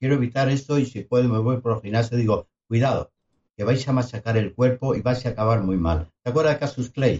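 Somewhat breathy, a man with a medium-pitched voice talks at a fairly quick pace with ordinary pitch variation. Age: 70s. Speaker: longevity medicine specialist, podcast co-host. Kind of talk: casual chat.

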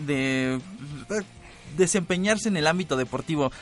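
A man with a fairly high voice talks at a moderate pace, his tone animated and his intonation lively. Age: 20s. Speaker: university radio host. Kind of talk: casual radio chat. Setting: radio studio.

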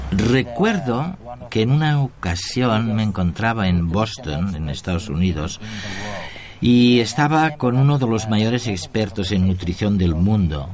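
His fairly low voice carries lively intonation, with noticeable background noise behind this man. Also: fairly slow pace. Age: old. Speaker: tv presenter. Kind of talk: interview. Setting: in a car.

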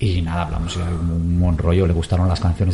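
A man with a very deep, low pitch, fairly even intonation and a moderate pace, with noticeable background noise. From Basque Country, Portugalete. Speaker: musician. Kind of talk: interview.

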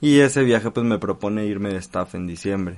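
Over noticeable background noise, a man with a Mexican accent talks at a fairly low pitch. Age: 20s. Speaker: business partner. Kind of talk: interview.

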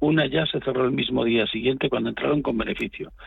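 A man talks at a fairly quick pace.

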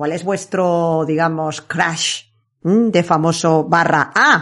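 Against a quiet background, a woman speaks in a plain, everyday voice, fairly low in pitch and fairly even in intonation. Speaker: podcast host. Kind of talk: casual chat.

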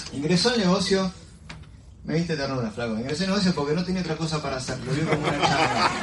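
Amid noticeable background noise, a man speaks very fast in an animated tone, at a fairly high pitch with ordinary pitch variation. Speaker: team meeting emcee. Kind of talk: motivational talk.

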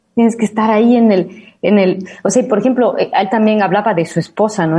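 A woman talks at a fairly quick pace with an Ecuadorian accent. Her tone is dark and mellow, and somewhat breathy. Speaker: radio host. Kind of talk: casual chat.

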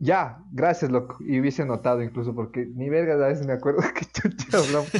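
Very fast speech from a man. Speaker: podcast host. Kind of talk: casual chat.

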